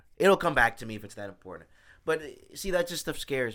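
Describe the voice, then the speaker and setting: A man with an American accent speaks in a bright, sharp, animated tone. His pitch swings very widely, and vocal fry is present. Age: 20s. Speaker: podcast host. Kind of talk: casual chat.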